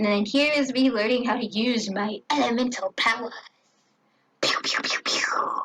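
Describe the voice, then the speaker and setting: This woman's voice sits high in pitch, with ordinary pitch variation. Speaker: gaming streamer. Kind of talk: gameplay commentary. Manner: casual, chatty.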